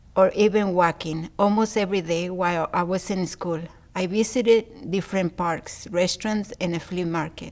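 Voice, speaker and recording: A woman speaks at a medium pitch, her intonation staying fairly level. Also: moderate pace. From Mexico City, Mexico. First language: Spanish. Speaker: adult literacy learner. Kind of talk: reading aloud.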